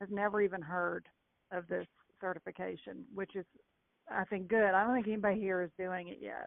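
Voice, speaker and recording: This woman speaks with a Kentucky accent. Her pace is moderate. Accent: Kentucky Southern. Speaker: real estate agent. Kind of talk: call-in question on a group call.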